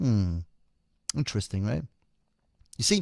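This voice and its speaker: A man with a non-native accent is recorded very cleanly against a silent background, the sound dry and close with no echo. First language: not English. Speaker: occult commentator. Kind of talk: monologue.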